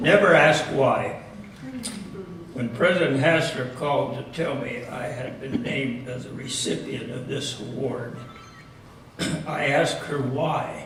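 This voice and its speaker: Over noticeable background noise, a man with a fairly high pitch speaks at a fairly slow pace, showing ordinary pitch variation, big swings in loudness, and long, frequent pauses. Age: 80s+. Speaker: retired biology professor. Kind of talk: award acceptance speech.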